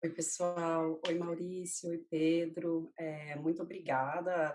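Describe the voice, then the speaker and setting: A woman speaks fairly slowly at a fairly low pitch. Her intonation is monotone and flat. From Rio de Janeiro, Brazil. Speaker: marketing executive. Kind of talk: interview. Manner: casual, many fillers.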